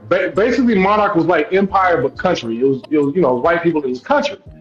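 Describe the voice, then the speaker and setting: A man with an American accent and a high pitch speaks with very wide pitch swings over noticeable background noise. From US South, Atlanta, Georgia. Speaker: actor. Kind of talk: casual podcast interview. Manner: hesitant, many repeated words.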